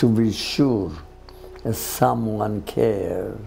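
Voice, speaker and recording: A man's voice with music in the background. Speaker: interviewee. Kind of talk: interview answer. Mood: tender, reflective. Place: home room.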